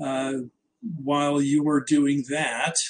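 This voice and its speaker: A fairly high-pitched man with an American accent at a very slow pace. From New Jersey. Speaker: trading educator. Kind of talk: webinar presentation. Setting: live online webinar.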